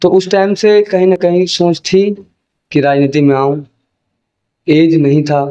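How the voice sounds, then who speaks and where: Fairly high-pitched for a man, this male voice has a dark, mellow tone and fairly even intonation. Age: 20s. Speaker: political candidate. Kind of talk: interview.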